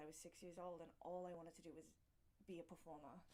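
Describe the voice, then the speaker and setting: With an Australian accent, a woman speaks at a fairly quick pace in a fairly low pitch. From Australia, rural town near Canberra. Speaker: dancer and performer. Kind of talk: casual interview.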